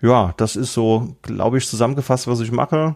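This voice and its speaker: In a dark, mellow tone, a man speaks with a medium pitch and fairly even intonation. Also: very clean recording, silent background. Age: 30s. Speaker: IT consultant and trainer, laptop collector. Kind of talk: casual chat.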